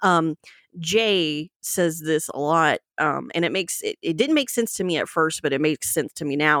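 A slight Southern US accent at a moderate pace, in a dry, close sound with no echo. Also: woman, very clean recording, silent background. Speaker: co-host. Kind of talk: casual chat.

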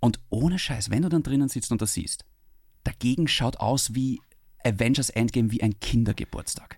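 Here a man speaks with ordinary pitch variation. His voice is somewhat breathy. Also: medium pitch for a man, moderate pace. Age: 30s. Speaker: podcast host. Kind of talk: casual chat.

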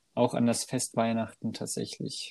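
His tone is dark and mellow. The man talks at a moderate pace. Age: 20s. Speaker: podcast co-host. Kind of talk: casual chat.

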